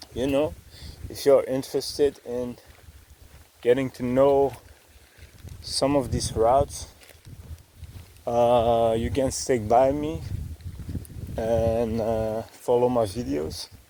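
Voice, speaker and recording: The speech moves at a very slow pace with long, frequent pauses and ordinary pitch variation, while noticeable background noise runs underneath. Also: man. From Belgium, Dutch-speaking (Flanders). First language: Dutch. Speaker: travel vlogger. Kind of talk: vlog narration while hiking. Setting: outdoors on a hiking trail. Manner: hesitant, many fillers.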